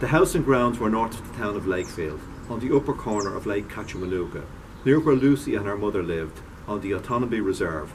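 Noticeable background noise sits behind a man talking at a very fast pace. His pitch is fairly low, with lively intonation. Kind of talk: reading aloud from a novel. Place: garden. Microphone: camera far.

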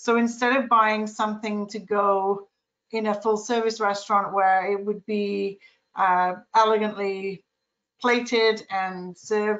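A woman's fairly high voice in a monotone, flat intonation at a fairly slow pace, over a quiet background. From Canada. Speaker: pork farmer and processor; panelist. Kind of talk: panel discussion. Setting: video call. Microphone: video call.

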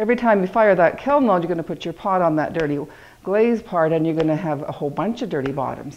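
Her pitch is fairly low for a woman. She has an ordinary speaking voice. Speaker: pottery teacher. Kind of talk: tutorial. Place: workshop.

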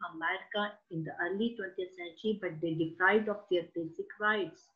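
A woman at medium pitch, with ordinary pitch variation, has a normal speaking voice. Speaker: teacher giving an online poetry lesson. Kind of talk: educational lecture with poem reading. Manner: explanatory, teacherly, measured.

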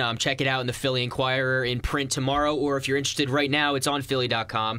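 A man talks at a very fast pace. His pitch sits in the medium range, with fairly even intonation. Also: quiet background. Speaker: college radio host. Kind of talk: casual talk radio discussion. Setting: radio studio. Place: studio.

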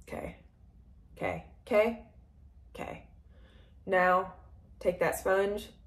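Audible room echo surrounds speech at a very slow pace with long, frequent pauses. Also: woman. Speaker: makeup vlogger. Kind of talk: makeup tutorial. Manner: casual, rambling with fillers; heavy breathing.

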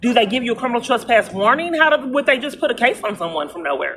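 Light background noise sits behind a woman's bright, sharp tone. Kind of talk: phone conversation complaint. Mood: frustrated, aggrieved. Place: street. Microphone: phone near.

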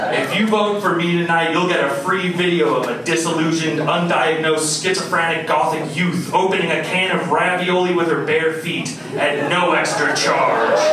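A high-pitched man talks at a moderate pace with very even loudness and fairly even intonation. Audible room echo and noticeable background noise surround him. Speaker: stand-up comedian. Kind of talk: stand-up comedy set. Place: stage.

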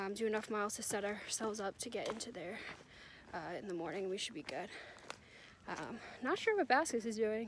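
Someone with an American accent talks at a fairly quick pace with ordinary pitch variation and long, frequent pauses, over noticeable background noise. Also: woman, fairly high pitch for a woman, dry sound with no echo. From New Jersey. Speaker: thru-hiker vlogger. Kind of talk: casual vlog narration. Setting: outdoors on hiking trail. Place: forest. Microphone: phone near.

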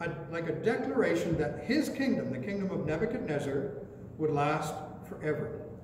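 A man's fairly high voice with lively intonation, audible room echo and light background noise. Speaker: pastor. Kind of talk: sermon. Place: church. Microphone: podium.

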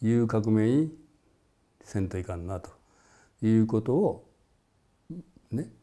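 A man's dark, mellow voice shows ordinary pitch variation, with a quiet background behind him. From Japan, Shiga Prefecture; Japan. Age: 70s. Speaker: former political activist and musician; interviewee. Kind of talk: interview. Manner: halting, with many fillers. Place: home room. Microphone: lapel.

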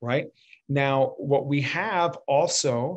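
A man's fairly high voice over a quiet background. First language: Spanish. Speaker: communication coach and former actor. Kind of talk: online interview conversation. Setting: video call. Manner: animated. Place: home room. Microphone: video call.

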